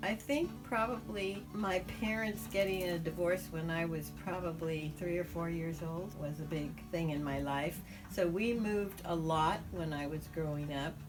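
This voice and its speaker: A woman with a warm tone and fairly low pitch talks at a fairly slow pace with ordinary pitch variation as music plays in the background. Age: 80s+. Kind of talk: interview answer. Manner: warm, reminiscent.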